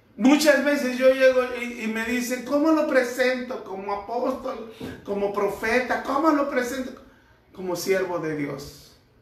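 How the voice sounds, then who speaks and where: A man talks at a fairly slow pace with an extremely high pitch and ordinary pitch variation. Audible room echo and noticeable background noise run through the recording. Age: 60s. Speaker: pastor. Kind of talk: sermon.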